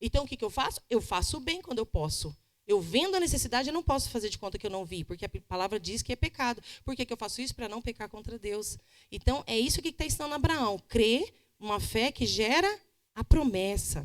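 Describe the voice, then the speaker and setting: A woman with a fairly high pitch, very wide pitch swings and a fairly quick pace. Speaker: pastor. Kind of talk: Bible study teaching. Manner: fast.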